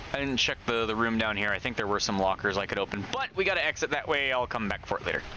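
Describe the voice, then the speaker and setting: Against noticeable background noise, a man with a medium pitch and ordinary pitch variation talks at a very fast pace, with hardly any pauses and very even loudness. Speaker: gaming streamer. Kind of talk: live gameplay commentary. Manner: stutters when excited; casual, profane.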